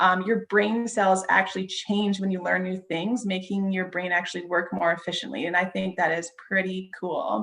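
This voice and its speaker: A woman's medium-pitched voice at a moderate pace, fairly even intonation and hardly any pauses, over noticeable background noise. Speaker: wellness presenter. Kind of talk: presentation.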